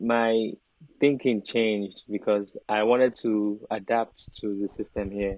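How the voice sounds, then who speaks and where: In a Nigerian accent, a man speaks fairly slowly at a fairly low pitch with monotone, flat intonation. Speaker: Afrobeats artist and model. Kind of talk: casual chat.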